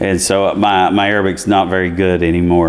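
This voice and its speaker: There is noticeable background noise. Through it, a man speaks with a very deep, low pitch. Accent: American. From US South, East Tennessee. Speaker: college chancellor. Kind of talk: interview. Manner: conversational, many fillers.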